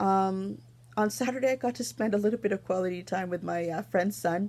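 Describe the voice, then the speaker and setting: The speaker has a Canadian accent and talks at a fairly quick pace. The recording is very clean, with a silent background. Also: woman. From Toronto, Canada. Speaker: knitting podcaster. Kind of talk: casual vlog chat. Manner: fast.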